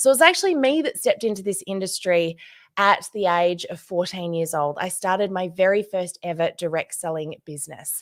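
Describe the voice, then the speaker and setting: A woman with an Australian accent talks at a fairly quick pace and medium pitch. Her tone is animated, and her pitch varies in an ordinary way. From Australia, Tasmania. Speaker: social media trainer for direct selling. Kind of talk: conference presentation.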